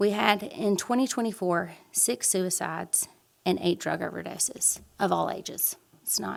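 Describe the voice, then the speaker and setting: A woman speaks with ordinary pitch variation. Her voice carries vocal fry. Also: medium pitch for a woman. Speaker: foundation director. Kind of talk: public presentation. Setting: city council meeting. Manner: fast.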